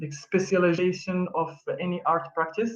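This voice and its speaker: Here a man speaks with a French accent at a high pitch. His pace is moderate. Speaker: arts collective member presenting. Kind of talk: online presentation. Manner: halting, many fillers.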